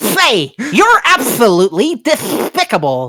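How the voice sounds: The speaker uses a put-on character voice in a New York accent with a fairly high pitch. The pace is fairly slow. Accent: Brooklyn Bronx.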